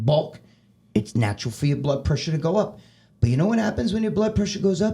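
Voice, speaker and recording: A man's dark, mellow, somewhat breathy voice, fairly quick, with very wide pitch swings. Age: 60s. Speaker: bodybuilder. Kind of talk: podcast interview. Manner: animated; repetitive, stammering.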